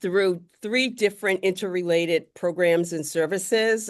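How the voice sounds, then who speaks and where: A woman's ordinary speaking voice, fairly low in pitch with ordinary pitch variation, at a fairly slow pace against a quiet background. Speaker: career workshop presenter. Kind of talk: workshop presentation.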